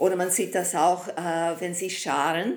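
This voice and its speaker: With a British accent, a woman speaks at a fairly low pitch and a fairly slow pace. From Britain. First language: English (speaking German). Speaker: horse trainer and behaviour researcher. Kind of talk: podcast interview, explanatory. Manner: hesitant non-native German.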